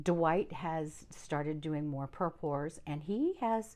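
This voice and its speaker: A dark, mellow tone at a fairly slow pace against a quiet background. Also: woman. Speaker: fluid art painter and channel host. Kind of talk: casual chat to camera. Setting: home art studio. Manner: hesitant, many fillers.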